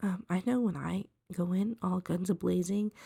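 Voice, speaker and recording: Her voice sits at a medium pitch with a dark, mellow tone, somewhat breathy, at a moderate pace, and the woman's sound is dry and close with no echo. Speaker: art tutorial creator. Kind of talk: drawing tutorial commentary. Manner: hesitant, many ums.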